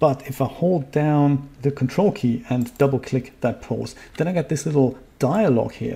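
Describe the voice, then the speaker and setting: A man talks at a moderate pace with hardly any pauses. His fairly high voice has a dark, mellow tone and ordinary pitch variation. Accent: German. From Germany. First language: German. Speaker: 3D software tutorial youtuber. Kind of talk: live-streamed tutorial. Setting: home studio live stream. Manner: casual, with fillers.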